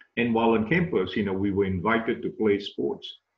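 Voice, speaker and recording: A man with a Malaysian accent and a fairly low pitch. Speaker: tennis coach and management professor. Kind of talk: webinar interview. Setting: video call.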